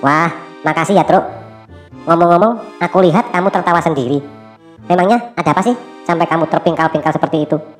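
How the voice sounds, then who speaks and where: A cartoonish character voice at a middle pitch rattles along at a very fast pace over clear music in the background. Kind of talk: cartoon dialogue.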